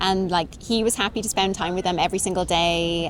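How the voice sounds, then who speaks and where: A woman with a British accent and fairly low pitch, with noticeable background noise. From Britain. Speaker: interviewee, wife of a Japanese man. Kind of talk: interview. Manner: fast when excited.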